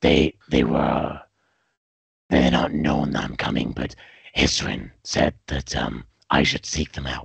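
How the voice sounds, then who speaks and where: Putting on a raspy character voice, a man with a very deep, low pitch speaks at a fairly slow pace with fairly even intonation and long, frequent pauses. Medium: actual play. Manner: hesitant, halting.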